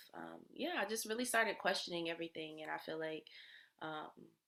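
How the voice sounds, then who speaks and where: A woman with an American accent speaks at a moderate pace, medium in pitch, with vocal fry. Her pitch varies in an ordinary way. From US South. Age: 20s. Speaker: energy healer and musician. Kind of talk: casual interview.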